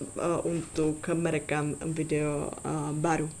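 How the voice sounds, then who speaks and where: This is a woman speaking with a Czech accent. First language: Czech (speaking Indonesian). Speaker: language tutor YouTuber. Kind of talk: tutorial. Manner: halting, many fillers.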